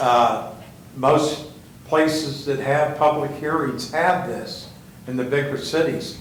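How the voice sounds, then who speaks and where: A man's fairly high voice in an American accent, fairly slow and fairly even in intonation, with audible room echo. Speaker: resident speaking at public comment. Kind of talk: public comment. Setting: city hall council chamber. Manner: loud.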